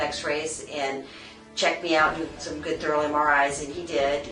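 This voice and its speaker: A woman's voice with music in the background. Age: 50s. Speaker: patient. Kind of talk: interview answer.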